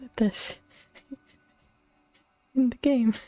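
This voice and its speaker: A soft-spoken woman with a high pitch talks at a very slow pace in a relaxed tone and monotone, flat intonation. The sound is dry and close with no echo, with music in the background. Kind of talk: ASMR soft-spoken casual chat while gaming. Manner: soft-spoken, relaxed.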